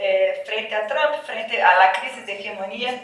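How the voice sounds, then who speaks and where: With a Brazilian accent, a woman speaks at a fairly slow pace amid noticeable background noise and audible room echo. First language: Portuguese (speaking Spanish). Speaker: academic panelist. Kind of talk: panel talk.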